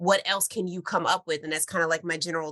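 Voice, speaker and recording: The woman has a bright, sharp tone with a fairly low pitch. She talks at a fairly quick pace. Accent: American. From US Northeast, New York suburbs. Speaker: science teacher. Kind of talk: panel discussion.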